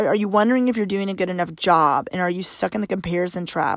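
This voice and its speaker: At a fairly quick pace, a woman talks in an American accent. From Arkansas, US South. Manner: fast talker.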